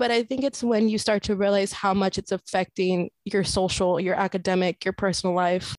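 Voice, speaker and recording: In a very clean recording with a silent background and a dry, close sound with no echo, a woman speaks in a plain, everyday voice at a medium pitch. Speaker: university student and peer wellness ambassador. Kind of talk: casual chat.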